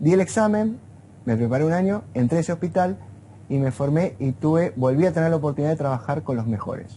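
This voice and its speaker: Fairly quick, lively speech from a man with an Argentine accent, somewhat breathy and dark, mellow in tone. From Argentina. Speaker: neurophysiologist. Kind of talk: interview. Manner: conversational, informal.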